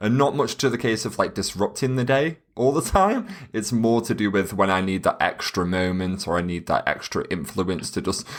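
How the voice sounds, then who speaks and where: A man with a British accent at a moderate pace with hardly any pauses, medium in pitch with lively intonation. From UK. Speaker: wedding photographer. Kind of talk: podcast interview. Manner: loud, excitable.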